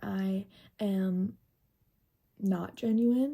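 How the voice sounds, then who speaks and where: A woman's somewhat breathy voice, dark and mellow in tone and medium in pitch, comes through a very clean recording with a silent background. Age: 20s. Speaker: vlogger. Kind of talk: personal vlog monologue.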